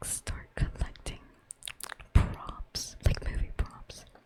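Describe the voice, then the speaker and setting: Whispering over noticeable background noise. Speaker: game streamer. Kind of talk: casual live-stream talk to chat.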